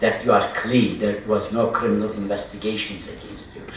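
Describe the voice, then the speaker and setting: Spoken in a Turkish accent, the recording has audible room echo and noticeable background noise. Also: man. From Turkey (Ardahan, northeast). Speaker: historian, professor. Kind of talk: Q&A answer after public lecture. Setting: lecture hall with audience.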